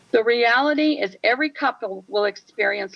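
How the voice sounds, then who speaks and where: A woman is speaking. Her voice has vocal fry. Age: 70s. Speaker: widowed retiree testifying. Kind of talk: public testimony read from prepared statement. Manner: formal.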